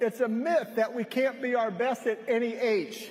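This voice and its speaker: The delivery is animated in tone and fairly slow in pace. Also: man. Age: 60s. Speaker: health product speaker at a conference. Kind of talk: stage speech. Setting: stage with audience.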